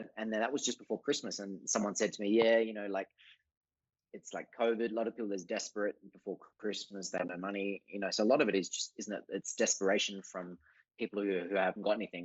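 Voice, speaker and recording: A man with an Australian accent speaks at a very fast pace. His intonation stays fairly even. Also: fairly low pitch for a man. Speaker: artist. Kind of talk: casual chat.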